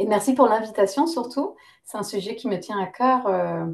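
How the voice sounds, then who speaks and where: A woman at medium pitch talks at a moderate pace with ordinary pitch variation. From Lebanese-British, lived in several countries. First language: English (speaking French). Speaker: naturopath and yoga teacher. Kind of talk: interview. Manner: hesitant, many fillers.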